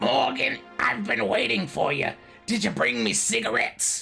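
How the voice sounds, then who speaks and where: A man's put-on character voice with very wide pitch swings at a moderate pace, over clear music in the background. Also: fairly high pitch for a man. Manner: demanding, cartoonish.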